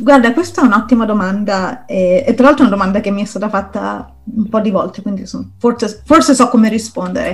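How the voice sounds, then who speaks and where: Over noticeable background noise, a woman with a fairly high pitch speaks at a very fast pace. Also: ordinary pitch variation. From Rome, Italy. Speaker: product designer. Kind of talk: interview.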